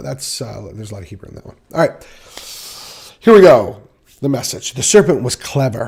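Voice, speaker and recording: Very fast and playful, a man speaks with lively intonation. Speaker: Bible study teacher. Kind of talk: Bible study. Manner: casual, playful.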